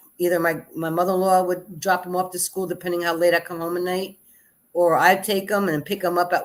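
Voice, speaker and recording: A woman speaks at a moderate pace in a plain, everyday voice, recorded very cleanly over a silent background. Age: 60s. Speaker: guest, mother of a content creator. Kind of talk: casual chat. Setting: live stream panel.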